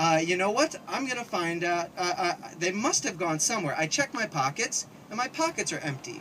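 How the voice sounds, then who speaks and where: A man raises and projects his high voice at a moderate pace, swinging his pitch very widely over noticeable background noise. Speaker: storyteller. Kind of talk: live storytelling performance.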